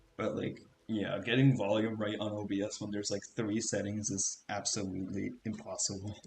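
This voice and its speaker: Soft-spoken and fairly low-pitched, a man talks at a moderate pace in a monotone, flat intonation. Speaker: gaming streamer. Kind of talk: casual chat. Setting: live stream. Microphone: cheap microphone; volume balance issues.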